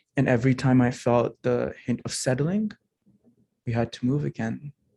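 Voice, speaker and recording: A man speaks at a moderate pace in a dark, mellow tone, with a dry, close sound with no echo. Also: medium pitch for a man, ordinary pitch variation. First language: not English. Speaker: alumni speaker sharing immigrant story. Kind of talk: testimony speech. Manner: formal.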